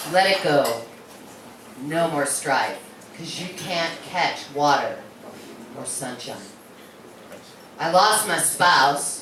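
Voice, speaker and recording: A woman talks very slowly with ordinary pitch variation while noticeable noise fills the background. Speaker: poet. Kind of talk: serious poetry reading.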